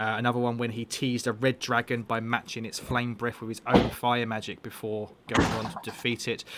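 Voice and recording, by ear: Monotone, flat intonation at a fairly quick pace with a fairly bright tone. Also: man, medium pitch for a man.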